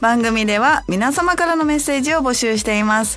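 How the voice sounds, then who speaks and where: A woman speaks at a fairly quick pace in a high pitch with very wide pitch swings. Noticeable background noise runs underneath. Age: 30s. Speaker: internet radio host. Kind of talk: casual radio talk. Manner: laughs often.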